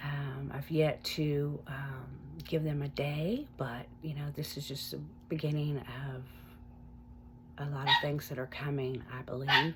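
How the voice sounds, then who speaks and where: A woman speaks very slowly in a somewhat breathy voice. Her pitch is very deep and low. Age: 50s. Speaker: recovery vlogger and online support group founder. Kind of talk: casual personal vlog. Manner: hesitant, many fillers.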